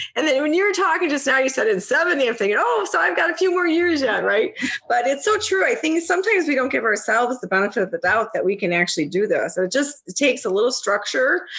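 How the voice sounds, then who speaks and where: A woman's high-pitched voice at a very fast pace, with very wide pitch swings, hardly any pauses, and noticeable background noise. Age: 60s. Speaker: podcast host. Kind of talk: interview. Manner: animated.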